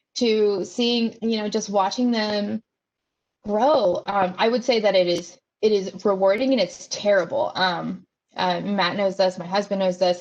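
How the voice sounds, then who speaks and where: A woman's medium-pitched voice, an unremarkable speaking voice, at a fairly slow pace with fairly even intonation. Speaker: nonprofit executive director. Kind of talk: interview. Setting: video call.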